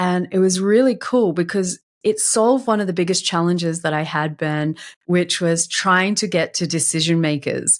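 A woman with an Australian accent speaks at a moderate pace with fairly low pitch. Her pitch variation is ordinary, and the recording is very clean with a silent background. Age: 40s. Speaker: LinkedIn marketing consultant. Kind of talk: interview.

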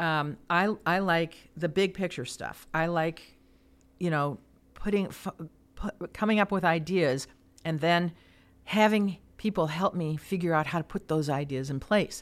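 With an American accent, a woman talks in an ordinary speaking voice, fairly low in pitch and fairly slow in pace. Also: ordinary pitch variation. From US Midwest, Chicago area. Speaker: former mayor and chamber of commerce president. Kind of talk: interview.

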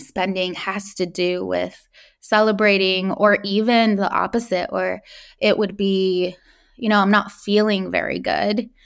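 A woman speaks with an American accent in a flat monotone. Her pace is fairly slow. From California, US. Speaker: podcast host. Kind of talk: casual interview chat.

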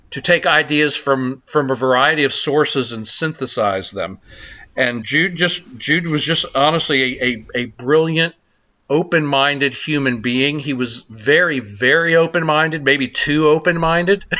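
With an American accent, a man speaks in a fairly high pitch with ordinary pitch variation and an unremarkable speaking voice. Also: moderate pace. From US South, South Carolina. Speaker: think tank president. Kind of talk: long-form interview.

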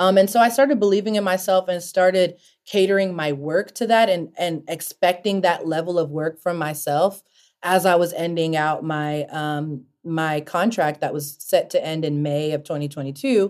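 With a normal speaking voice and a fairly low pitch, a woman talks at a moderate pace with ordinary pitch variation, recorded very cleanly against a silent background. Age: 30s. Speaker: broadcast news anchor. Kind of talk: interview.

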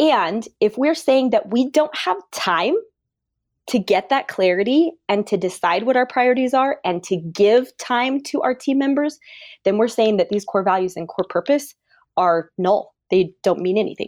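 A woman with an unremarkable speaking voice talks at a moderate pace, her fairly high pitch carried by lively intonation on a very clean recording with a silent background. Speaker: dental practice coach. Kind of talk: casual chat.

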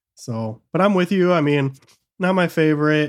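A man with an American accent, fairly high in pitch, with ordinary pitch variation and a moderate pace, on a very clean recording with a silent background. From Michigan. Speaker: comic book podcast co-host. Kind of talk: casual chat. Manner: animated.

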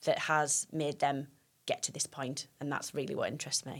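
A woman talks at a fairly quick pace in a Teesside accent. The recording is very clean and the background silent. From Teesside, northern England (Stockton). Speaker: youth worker. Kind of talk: interview. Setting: studio.

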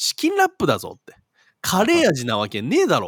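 A man puts on a gruff character voice at a fairly quick pace. The sound is dry and close, with no echo. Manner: intimidating, gruff.

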